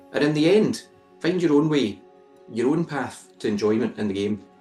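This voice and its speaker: Music plays in the background. A man talks in a fairly high pitch with lively intonation. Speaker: author. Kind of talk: audiobook reading by the author.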